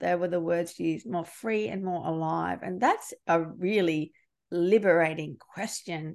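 A woman with an Australian accent speaks at a fairly low pitch and moderate pace, with ordinary pitch variation, over a quiet background. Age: 40s. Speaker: podcast host and leadership coach. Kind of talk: interview.

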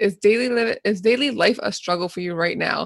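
Medium in pitch with ordinary variation, a woman talks at a moderate pace in an unremarkable speaking voice. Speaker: podcast host and occupational therapist. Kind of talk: casual interview chat.

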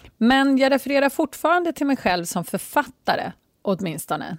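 A woman's animated voice at a fairly slow pace, with very wide pitch swings and a dry, close sound with no echo, very cleanly recorded against a silent background. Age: 40s. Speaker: life coach. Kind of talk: casual monologue.

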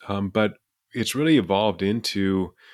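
In an American accent, a man with a plain, everyday voice talks at a fairly low pitch and a fairly slow pace. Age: 60s. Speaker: behavioral neuroscientist and professor. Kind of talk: casual interview.

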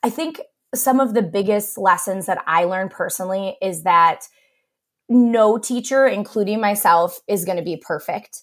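An unremarkable speaking voice on a very clean recording with a silent background. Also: woman, medium pitch for a woman, ordinary pitch variation, moderate pace. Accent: American. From US Midwest, Cleveland area, Ohio. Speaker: elementary music teacher. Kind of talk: interview.

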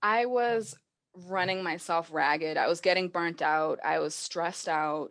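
Against a quiet background, a woman with an American accent talks at a fairly slow pace in a normal speaking voice, fairly low in pitch with ordinary pitch variation. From Massachusetts. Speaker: social media marketer. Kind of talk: interview conversation. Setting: video call.

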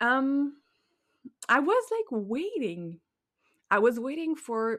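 A woman with a Quebec accent speaks with lively intonation in a very clean recording with a silent background. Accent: French Québécois accent in English. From Quebec, Montreal. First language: French. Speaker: life coach and podcast host. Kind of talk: solo podcast monologue. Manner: halting, searching for words.

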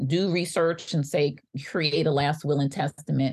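A woman talks against a quiet background. Her voice is somewhat breathy. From New York (Bronx). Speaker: physician and legal advocate. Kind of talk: interview chat.

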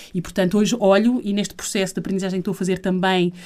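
This woman has a medium pitch and a dark, mellow tone, delivered in a monotone, flat intonation. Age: 40s. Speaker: professional organizing consultant. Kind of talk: interview conversation.

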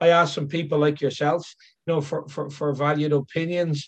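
The speaker has an Irish accent. The pace is moderate. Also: man. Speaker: elephant care consultant. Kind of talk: interview. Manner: halting, repeats words.

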